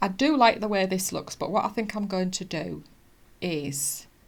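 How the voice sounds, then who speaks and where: A woman with a British accent talks at a fairly slow pace, her pitch varying in an ordinary way. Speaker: cross stitch vlogger. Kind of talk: casual chat. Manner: halting.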